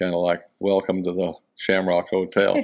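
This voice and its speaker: In a Texan accent, a man speaks with a very deep, low pitch and monotone, flat intonation, in a very clean recording with a silent background. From Houston, Texas. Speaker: rodeo volunteer and philanthropist. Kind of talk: interview answer.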